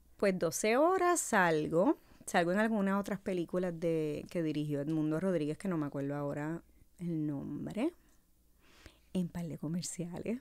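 A woman talks at a fairly slow pace with a Puerto Rican accent and fairly low pitch. Her pitch varies in an ordinary way against a quiet background. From Puerto Rico, Carolina; Puerto Rico. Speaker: casting director; podcast guest. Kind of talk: casual interview. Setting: studio. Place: studio. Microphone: studio mic.

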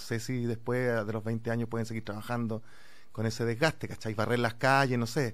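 In a Chilean accent, a man talks at a fairly quick pace with fairly even intonation. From Chile, Santiago (Conchalí). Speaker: actor; guest actor. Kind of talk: casual chat; interview answer. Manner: halting. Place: studio. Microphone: studio mic.

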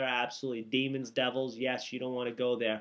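The intonation is monotone and flat. The background is quiet. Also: man. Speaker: minister. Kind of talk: fervent intercessory prayer, declaring and commanding. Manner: impassioned, commanding, preacher-like cadence. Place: home room. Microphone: webcam.

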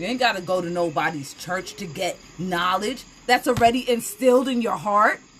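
A woman speaks in a furious, passionate tone at a moderate pace. Faint music plays in the background. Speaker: tarot reader. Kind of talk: angry rant, sweary sermon-like tirade against church hypocrisy; live tarot reading, casual chatty. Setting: live stream. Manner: furious, fiery, loud, heated and passionate. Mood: passionate, confrontational about church. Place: home room. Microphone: phone near.

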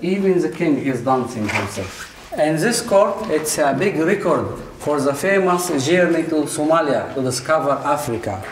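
A man at a moderate pace, fairly high-pitched, with lively intonation, few pauses and audible room echo.

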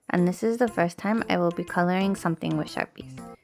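With music in the background, a woman speaks at a fairly quick pace and medium pitch, her pitch varying in an ordinary way. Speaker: art channel creator. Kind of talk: casual art tutorial narration. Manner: quiet, low volume.

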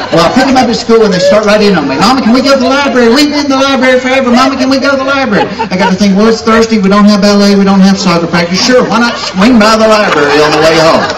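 At a very fast pace and with hardly any pauses, a man talks over noticeable background noise. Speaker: stand-up comedian. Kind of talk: stand-up comedy routine. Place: stage.

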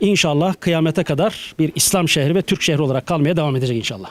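A man's ordinary speaking voice, fairly high-pitched for a man, with fairly even intonation at a fairly quick pace. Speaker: university faculty dean. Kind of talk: interview answer.

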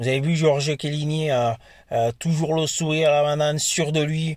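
Against a quiet background, a man's somewhat breathy voice sounds dry, with no echo. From France. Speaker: football YouTuber; football fan vlogger. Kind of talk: casual vlog monologue. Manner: hesitant, many fillers. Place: car. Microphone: phone near.

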